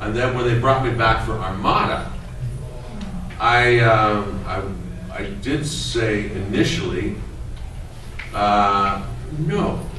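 A man with a fairly low pitch and ordinary pitch variation speaks at a very slow pace, leaving long, frequent pauses. Audible room echo and light background noise fill the recording. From Canada. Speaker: voice actor. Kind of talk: convention Q&A panel. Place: meeting room. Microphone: camera far.

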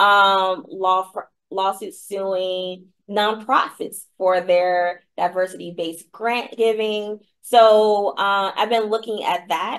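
At a very slow pace, a woman with an American accent keeps her intonation fairly even. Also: medium pitch for a woman. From Virginia, US South. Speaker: law professor. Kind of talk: interview.

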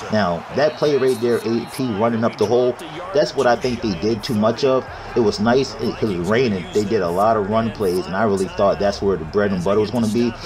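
A man with an American accent, medium pitch and ordinary pitch variation, animated and fairly quick, amid audible room echo and noticeable background noise. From Maryland, US. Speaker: gaming YouTuber giving NFL predictions. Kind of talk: casual sports prediction commentary. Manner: casual, animated.

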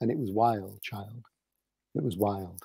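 Against a quiet background, a man with a dark, mellow tone speaks at a fairly slow pace in a dry sound with no echo. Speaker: children's poet. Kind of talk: poetry reading. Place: home room.

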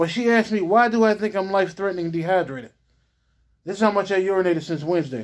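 Against a quiet background, a man with a high pitch talks at a very fast pace with ordinary pitch variation. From US, Pittsburgh. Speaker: vlogger recounting hospital visit. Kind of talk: angry self-recorded video rant about medical mistreatment. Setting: self-recorded video after hospital visit. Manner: agitated, aggrieved and repetitive, circling back to accusations; halting, with frequent fillers and restarts. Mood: aggrieved, angry. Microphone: phone near.

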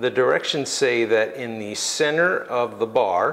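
The speaker is a man. He keeps to a moderate pace. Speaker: product reviewer. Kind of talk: tutorial. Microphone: lapel.

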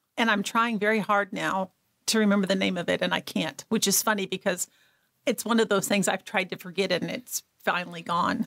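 A woman at medium pitch with vocal fry, a fairly quick pace, very even loudness and fairly even intonation, against a quiet background. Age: 60s. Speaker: abuse survivor and speaker. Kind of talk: testimony. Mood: earnest, recounting trauma. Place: studio. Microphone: studio mic.

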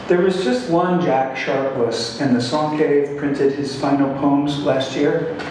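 A man's fairly high voice with fairly even intonation and a fairly slow pace, under strong room echo and light background noise. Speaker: poet reading his work. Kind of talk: poetry reading at a live event. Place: hall.

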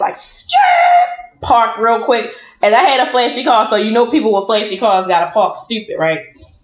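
A woman's voice with audible room echo. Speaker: food vlogger. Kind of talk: casual storytelling vlog chat while eating. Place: home room. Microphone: phone near.

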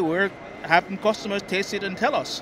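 With noticeable background noise but a dry sound with no echo, a man speaks at a moderate pace. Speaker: guest. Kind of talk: interview answer. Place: hall. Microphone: handheld.

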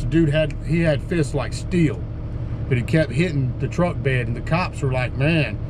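Fairly even intonation and a moderate pace come through over noticeable background noise. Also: man. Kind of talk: casual vlog chat. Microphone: phone near.

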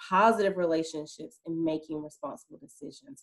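At a moderate pace, a woman speaks with ordinary pitch variation. Behind her, the background is quiet. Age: adult parent. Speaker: school social emotional learning specialist. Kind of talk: online presentation for parents. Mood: warm, upbeat, playful. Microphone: video call.

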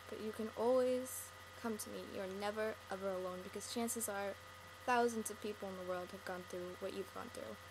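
With fairly even intonation, a woman speaks over noticeable background noise. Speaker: video blogger. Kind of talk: personal monologue to camera. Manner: earnest, rambling. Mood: sad, earnest, comforting. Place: home room. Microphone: webcam.

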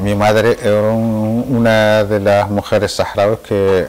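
The man's speech moves at a very slow pace. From Western Sahara, El Aaiún; Western Sahara. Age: 60s. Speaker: Saharawi independence activist; interviewee. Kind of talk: interview testimony. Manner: hesitant, with many fillers. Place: home room.

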